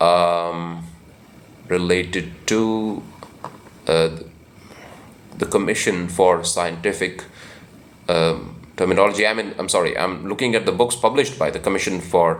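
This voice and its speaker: With an Indian accent and a very deep, low pitch, a man speaks at a fairly slow pace, leaving long, frequent pauses, with ordinary pitch variation. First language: Hindi. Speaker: book channel host. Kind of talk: informal talk. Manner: halting, many fillers.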